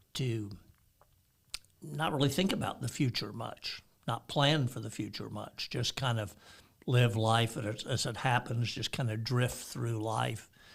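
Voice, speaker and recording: A man speaks at a medium pitch with vocal fry. His pace is fairly slow and his pitch variation ordinary. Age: 70s. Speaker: pastor. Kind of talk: casual chat.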